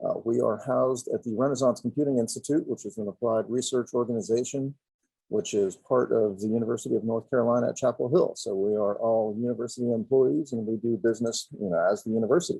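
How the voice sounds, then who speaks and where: Very fast in pace, a man speaks with a dark, mellow tone at medium pitch and ordinary pitch variation. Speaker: executive director of a software consortium. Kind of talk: conference presentation. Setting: virtual conference.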